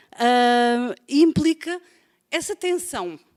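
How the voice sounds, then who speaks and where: A woman's high voice with a European Portuguese accent, in a dry, close sound with no echo. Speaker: professor. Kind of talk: lecture. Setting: web conference. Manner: halting, many fillers.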